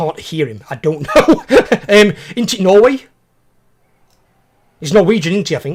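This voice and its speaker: Speaking with a British accent, a man uses a high pitch with very wide pitch swings and big swings in loudness, leaving long, frequent pauses. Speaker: gaming streamer. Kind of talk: casual chat. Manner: fast.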